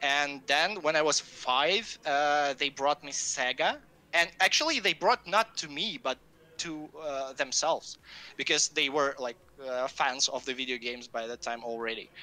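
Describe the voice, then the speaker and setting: Bright, sharp tone from a man, fairly high in pitch, with ordinary pitch variation and a moderate pace. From Russia. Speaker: game designer. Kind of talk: interview. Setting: live stream. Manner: halting, many fillers.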